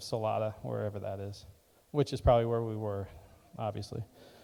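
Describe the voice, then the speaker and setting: Dark and mellow in tone, a man's voice. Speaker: church speaker sharing mission trip report. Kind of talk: informal sermon / mission trip talk. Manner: casual, rambling with fillers.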